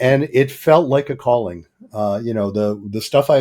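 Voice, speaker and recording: Against a silent background in a very clean recording, a man with a dark, mellow tone and medium pitch talks at a fairly quick pace with ordinary pitch variation. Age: 70s. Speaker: psychologist, couples therapist. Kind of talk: podcast interview.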